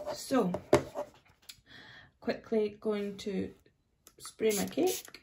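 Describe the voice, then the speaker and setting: A woman with a Scottish accent at a very slow pace, long, frequent pauses, loud background noise. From Scotland. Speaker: face painter. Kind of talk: casual product demo talk to camera. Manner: upbeat, enthusiastic. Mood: cheerful, enthusiastic. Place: home room. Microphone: phone near.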